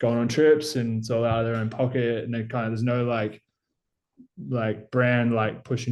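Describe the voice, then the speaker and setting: With an Australian accent, a man of medium pitch speaks at a moderate pace in a flat, monotone way. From Australia, Gippsland, Victoria. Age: 20s. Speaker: BMX rider. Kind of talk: casual chat.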